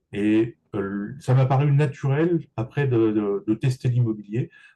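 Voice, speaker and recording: Somewhat breathy speech comes from a man. The tone is dark and mellow. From Paris region, France. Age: 60s. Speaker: real estate agent and business coach. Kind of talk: interview. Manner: halting, many repetitions.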